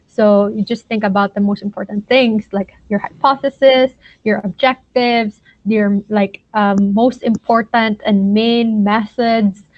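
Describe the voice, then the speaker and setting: A woman with a Filipino accent speaks at a fairly slow pace in a fairly high pitch, her intonation monotone and flat. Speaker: science mentor / lecturer. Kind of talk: lecture. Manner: hesitant with many fillers.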